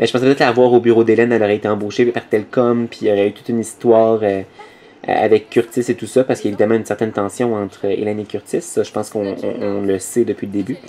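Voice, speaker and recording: Against noticeable background noise, a man speaks very fast at medium pitch, keeping fairly even intonation but with big swings in loudness. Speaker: machinima series creator. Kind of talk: audio commentary. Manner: improvised, hesitant.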